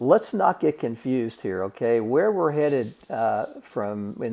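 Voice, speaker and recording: A man's medium-pitched voice, dark and mellow in tone, at a very slow pace. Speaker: statistics instructor. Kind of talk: lecture. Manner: halting, many fillers.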